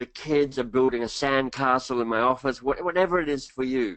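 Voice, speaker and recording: A man with an Australian accent. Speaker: leadership coach and author. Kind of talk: webinar presentation. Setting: online webinar.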